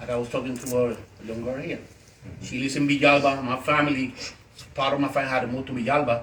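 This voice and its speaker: Amid noticeable background noise and audible room echo, a man of medium pitch talks at a fairly quick pace with fairly even intonation. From Puerto Rico, Ponce. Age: 60s. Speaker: author and activist. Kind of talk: fireside chat interview. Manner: halting.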